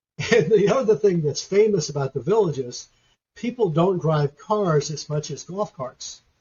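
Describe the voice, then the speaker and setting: This man has a high pitch and lively intonation. He keeps a moderate pace. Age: 70s. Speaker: history professor. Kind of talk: interview.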